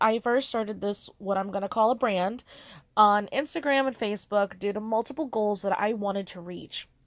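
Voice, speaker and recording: On a very clean recording with a silent background, a woman speaks. Her intonation is lively. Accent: American. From United States. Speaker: artist and content creator. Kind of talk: casual voiceover monologue. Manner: fast.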